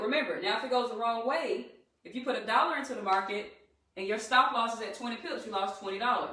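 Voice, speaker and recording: A woman's animated, fairly high voice in a Southern US accent, fairly quick, with ordinary pitch variation and audible room echo. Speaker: trading educator. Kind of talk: live-stream tutorial. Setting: live stream.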